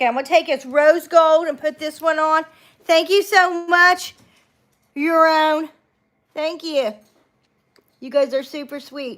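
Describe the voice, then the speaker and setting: A woman speaks at an extremely high pitch and a fairly slow pace, her intonation fairly even, her loudness swinging widely, with long pauses coming often. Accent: Appalachian. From Appalachia. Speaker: beauty livestreamer. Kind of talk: casual live makeup tutorial. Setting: home livestream. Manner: chatty, relaxed.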